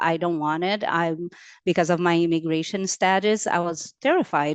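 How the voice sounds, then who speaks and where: Against a quiet background, a woman speaks at a moderate pace with a fairly low pitch and fairly even intonation. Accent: Portuguese. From Brazil. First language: Portuguese. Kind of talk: webinar panel testimony. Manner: halting, many fillers.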